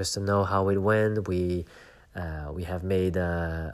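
A man's very deep, low voice at a very slow pace, with fairly even intonation. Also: very clean recording, silent background. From Belgium. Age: 30s. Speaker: podcast host. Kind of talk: personal reflective monologue. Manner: hesitant, many fillers.

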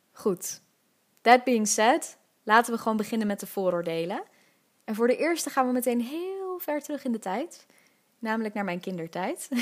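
A woman with a fairly high voice makes very wide pitch swings and leaves long, frequent pauses. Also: moderate pace. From Netherlands, Amsterdam (Nieuw-West). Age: 20s. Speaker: podcast host. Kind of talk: solo podcast monologue. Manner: casual, laughing often.

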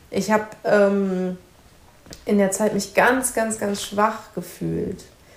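A woman speaks at a very slow pace and a medium pitch. Noticeable background noise runs behind her. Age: 30s. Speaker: author and social worker, mother. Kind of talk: interview.

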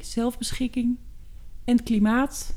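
With a dark, mellow tone and a somewhat breathy quality, a woman speaks at a fairly high pitch, very slowly, with fairly even intonation. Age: 40s. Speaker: podcast co-host, working mother. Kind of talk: casual chat. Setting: at the kitchen table.

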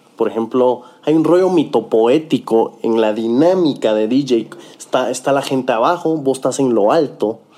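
Here is an ordinary speaking voice from a man at medium pitch and a moderate pace. His loudness stays very even, and his pitch varies in an ordinary way. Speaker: talk show host. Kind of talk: casual interview.

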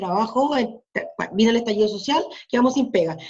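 A woman with an unremarkable speaking voice talks fast-ish and fairly high in pitch, with ordinary pitch variation. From southern Chile, Mapuche. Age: 50s. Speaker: community activist. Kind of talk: casual chat.

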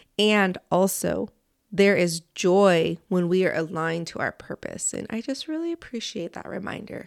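Heard on a very clean recording with a silent background, a woman with a plain, everyday voice speaks at a fairly slow pace, medium in pitch with ordinary pitch variation. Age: 30s. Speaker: podcast host and dance teacher. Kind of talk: podcast interview and reflection.

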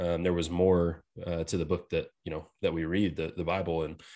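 A man with an American accent has a very deep, low pitch and monotone, flat intonation. He talks at a fairly quick pace over a quiet background. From Texas. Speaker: podcast co-host. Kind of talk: casual chat.

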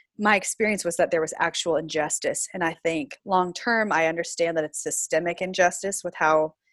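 A plain, everyday voice from a woman with an American accent, fairly quick in pace, against a quiet background. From US South, Florida. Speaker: pastor. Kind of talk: interview.

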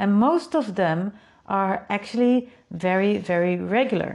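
A woman speaks with a Dutch accent at a medium pitch. She talks at a fairly slow pace over a quiet background. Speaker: podcast host and creativity coach. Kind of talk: solo podcast monologue. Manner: casual, upbeat.

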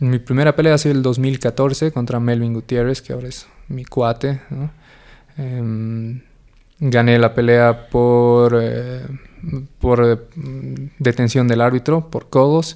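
In a dark, mellow tone, a man at medium pitch speaks very slowly in a flat monotone, with long, frequent pauses. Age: 20s. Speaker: mixed martial arts fighter and lawyer. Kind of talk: interview.

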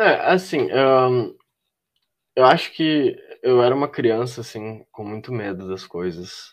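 Against a quiet background, a man talks very slowly at a medium pitch, with lively intonation and big swings in loudness. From Porto Alegre, southern Brazil. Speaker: filmmaker and visual artist. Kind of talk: casual chat.

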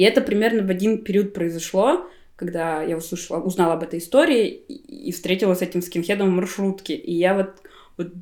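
With a normal speaking voice, the talker goes at a fairly quick clip and shows ordinary pitch variation. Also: woman. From Buryatia, Russia. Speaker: graphic designer. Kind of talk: casual chat. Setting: at a friend's home.

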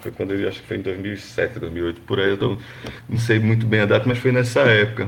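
Noticeable background noise beneath a man's fairly low-pitched voice. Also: fairly even intonation. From Brazil, Pernambuco interior (Gravatá). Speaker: football fan. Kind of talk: casual chat. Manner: halting.

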